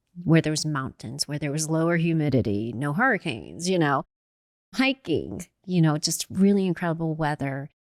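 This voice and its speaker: A woman with a very deep, low pitch speaks at a moderate pace in a very clean recording with a silent background and a dry, close sound with no echo. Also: lively intonation. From US South, Louisiana. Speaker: podcast co-host, network marketing entrepreneur. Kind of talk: casual chat.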